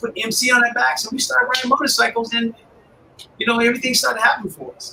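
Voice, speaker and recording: A man with a Chicago accent raises and projects his voice at an extremely high pitch. Noticeable background noise runs behind him. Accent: Chicago American English. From US Midwest, Chicago area. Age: 60s. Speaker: motorcycle club founder. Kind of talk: interview.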